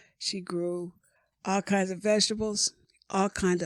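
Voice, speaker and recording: This woman has an American accent. Her intonation stays fairly even. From US South, North Florida. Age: 70s. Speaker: retired lawyer and professor. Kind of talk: interview. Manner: halting.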